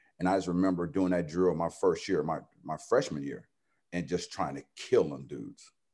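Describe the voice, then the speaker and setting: A man with an American accent speaks at a moderate pace in a very deep, low pitch with vocal fry, a dark, mellow tone and lively intonation, in a very clean recording with a silent background. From San Diego, California. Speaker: high school football coach. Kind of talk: interview.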